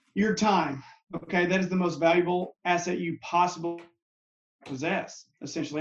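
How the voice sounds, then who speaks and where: This man has a plain, everyday voice pitched fairly high. He talks at a moderate pace. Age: 30s. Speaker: mental health counselor and Marine veteran. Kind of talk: casual chat.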